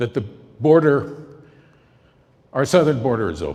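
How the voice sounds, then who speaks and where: With vocal fry and lively intonation, a man talks at a medium pitch and a fairly slow pace. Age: 70s. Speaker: political campaign volunteer, former TV correspondent. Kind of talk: speech introducing a documentary.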